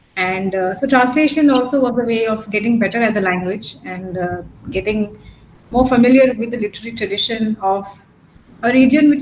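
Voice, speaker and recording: With a Gujarati accent, a woman talks at a fairly quick pace in a fairly high pitch with ordinary pitch variation over noticeable background noise. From Pondicherry, south India. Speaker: academic speaker. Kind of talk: academic Q&A discussion. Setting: video call. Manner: hesitant, many fillers. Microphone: network issues.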